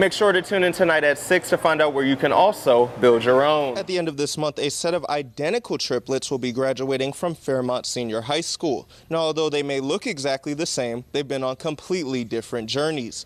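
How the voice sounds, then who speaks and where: A normal speaking voice with ordinary pitch variation. It moves at a fairly quick pace with hardly any pauses. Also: man, fairly high pitch for a man. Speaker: TV news anchor and reporter. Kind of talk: broadcast news delivery.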